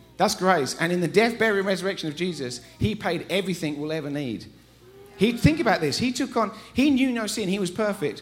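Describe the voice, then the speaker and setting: Using an English accent, a high-pitched man speaks at a fairly quick pace in an animated tone with lively intonation. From England. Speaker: visiting preacher. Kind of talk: sermon. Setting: church.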